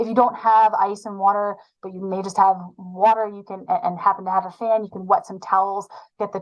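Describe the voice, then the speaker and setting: At a fairly quick pace, a woman speaks with medium pitch and monotone, flat intonation. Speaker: sports medicine physician. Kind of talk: webinar lecture. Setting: online webinar. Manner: fast.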